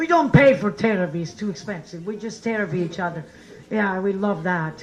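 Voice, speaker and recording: Audible room echo surrounds the recording. A woman talks at a fairly quick pace. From Italy. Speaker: comedian and show host. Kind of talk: stand-up; introducing next comedian. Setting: stage with audience.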